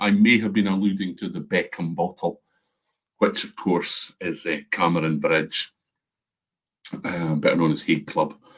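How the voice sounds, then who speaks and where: Lively intonation marks this man's Scottish accent as he talks at a fairly slow pace. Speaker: whisky reviewer. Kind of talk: live stream tasting chat. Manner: animated.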